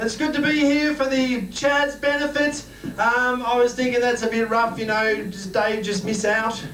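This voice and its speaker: A man with an Australian accent and an extremely high pitch talks at a moderate pace, with audible room echo and noticeable background noise. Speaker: stand-up comedian. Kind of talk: stand-up. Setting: stage with audience. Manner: animated.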